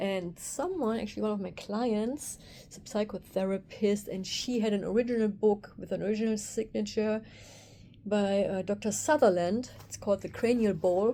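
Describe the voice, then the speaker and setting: In a German accent, the speaker keeps a moderate pace and a dark, mellow tone. Intonation stays fairly even while loudness swings a lot. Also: woman, medium pitch for a woman. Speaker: craniosacral therapist. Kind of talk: casual vlog monologue. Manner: halting, with fillers.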